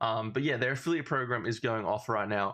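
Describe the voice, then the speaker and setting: In an upbeat tone, a man with an Australian accent talks at a fairly quick pace with lively intonation. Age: 20s. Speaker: affiliate marketer. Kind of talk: casual tutorial talk to camera.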